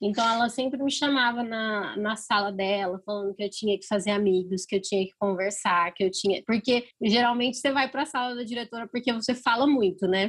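A woman talks at a fairly quick pace with hardly any pauses. Her voice is fairly high and somewhat breathy. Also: ordinary pitch variation. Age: 20s. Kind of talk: casual interview.

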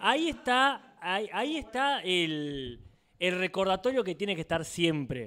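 On a very clean recording with a silent background, a man uses a raised, projected voice with a high pitch and very wide pitch swings at a fairly slow pace. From Argentina. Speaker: podcast co-host. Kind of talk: casual chat. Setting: live show with audience.

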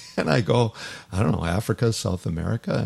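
At a moderate pace, a man with an unremarkable speaking voice talks at a fairly low pitch with lively intonation. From Toronto, Canada. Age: 60s. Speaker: hockey chaplain and former pro hockey player. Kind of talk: casual interview chat.

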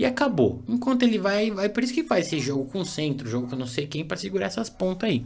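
A high-pitched male voice with very wide pitch swings, a very fast pace and hardly any pauses. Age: 30s. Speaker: podcast host. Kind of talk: casual chat.

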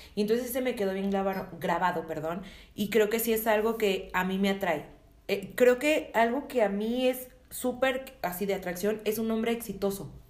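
With audible room echo, a woman speaks at a moderate pace in a fairly high pitch, using ordinary pitch variation. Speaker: podcast co-host. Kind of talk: casual chat.

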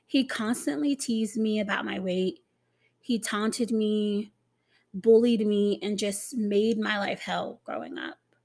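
Speaking at a fairly slow pace, a woman uses a somewhat breathy, fairly high voice with ordinary pitch variation. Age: 30s. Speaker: podcast host. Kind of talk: personal monologue.

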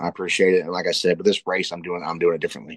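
Against a quiet background, a man speaks very fast in a very deep, low voice. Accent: Appalachian. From West Virginia. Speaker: political candidate. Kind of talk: interview.

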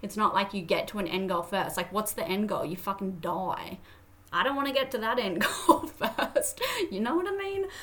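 A woman with an Australian accent, fairly high in pitch, at a moderate pace with lively intonation. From Australia, Toowoomba, Queensland. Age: 20s. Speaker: podcast host. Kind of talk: casual monologue. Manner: animated.

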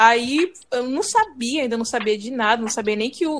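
A woman speaks in a plain, everyday voice, pitched fairly high, with lively intonation. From Brazil, Pará. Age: 20s. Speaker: podcast co-host, fan translation group admin. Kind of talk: casual chat.

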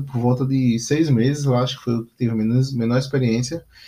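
Somewhat breathy, a man talks at medium pitch. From Northeast Brazil, Aracaju. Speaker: podcast host, entrepreneur. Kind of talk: solo monologue podcast. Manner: halting, many fillers; casual.

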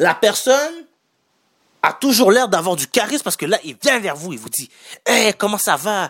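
A man with a Quebec accent speaks at a moderate pace in a high pitch, swinging very widely. He leaves long, frequent pauses. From Haitian heritage. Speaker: podcast host and entrepreneur. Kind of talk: solo podcast monologue. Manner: casual, many fillers.

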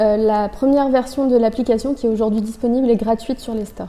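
Against noticeable background noise, a woman speaks in a high voice with fairly even intonation. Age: 20s. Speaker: engineer and app co-founder. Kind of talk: interview. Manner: formal.

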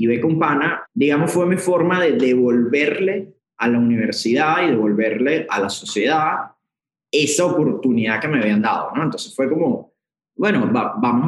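Speaking at a moderate pace in a Venezuelan accent, a man with a fairly high pitch lets his voice make very wide pitch swings. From Venezuela, Puerto Ordaz. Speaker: corporate executive. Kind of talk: interview.

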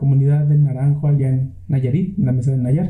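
A man talks with a fairly high pitch. Audible room echo surrounds his voice. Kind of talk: storytelling. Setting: home studio.

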